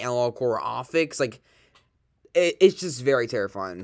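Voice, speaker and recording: Lively intonation at a very fast pace, on a very clean recording with a silent background. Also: man. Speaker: YouTube reaction streamer. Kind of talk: casual reaction commentary. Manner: soft-spoken.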